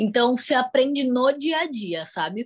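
In a quiet setting, a woman with a high voice speaks fairly slowly. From Brazil, Campinas region; Brazil. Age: 20s. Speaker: au pair; guest. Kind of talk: interview. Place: home room. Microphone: video call.

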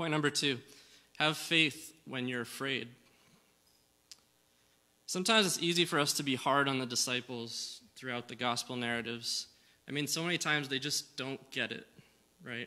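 With a bright, sharp tone, a man talks at a moderate pace with ordinary pitch variation and long, frequent pauses. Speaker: preacher. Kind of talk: sermon. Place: church. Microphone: podium.

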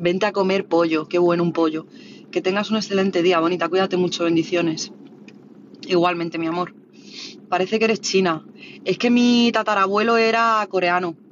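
Speaking at a fairly quick pace in a Madrid accent, the voice breaks often with long pauses. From Spain, Madrid (Orcasur, south Madrid). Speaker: livestreamer. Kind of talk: casual livestream chat reading viewer comments.

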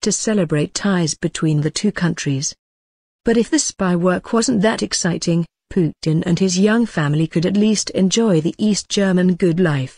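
A woman's fairly low, somewhat breathy voice with a dark, mellow tone, ordinary pitch variation, and a moderate pace, in a dry, close sound with no echo. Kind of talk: history documentary narration. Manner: measured, grave storytelling pace; formal, clear, and authoritative.

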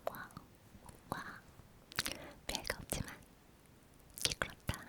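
A woman whispers over noticeable background noise. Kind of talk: ASMR whispered chatty talk with word repetition. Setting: studio, close microphone. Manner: whispered, soft-spoken, repetitive.

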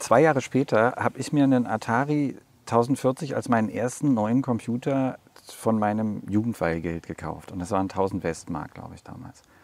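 With big swings in loudness, a man of medium pitch speaks at a moderate pace and lively intonation. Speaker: podcast host. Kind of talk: casual interview. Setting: outdoors in front of a cultural hall.

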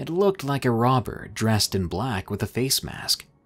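Over music in the background, a man talks at a moderate pace with very wide pitch swings. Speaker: story narrator. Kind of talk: horror story narration.

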